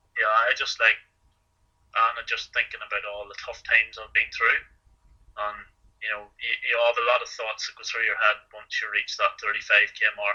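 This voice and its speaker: A man with an Irish accent at a moderate pace, with big swings in loudness. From Ireland. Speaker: marathon runner. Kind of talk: interview answer. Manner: hesitant, conversational.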